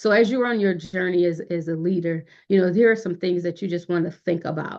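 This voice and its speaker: Her pitch fairly low, a woman talks in an ordinary speaking voice with fairly even intonation. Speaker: youth leadership program facilitator. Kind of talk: online workshop lecture.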